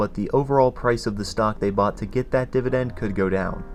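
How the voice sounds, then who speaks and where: At a fairly quick pace, a man talks in a normal speaking voice at a medium pitch. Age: young. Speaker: finance YouTuber. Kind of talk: casual talk to camera.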